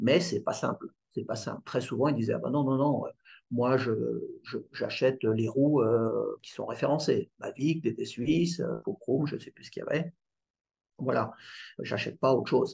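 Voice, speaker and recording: A man talks at a moderate pace with long, frequent pauses. His loudness swings widely. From Paris region, France (Yvelines). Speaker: bike distributor. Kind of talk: interview. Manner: halting, repeats words.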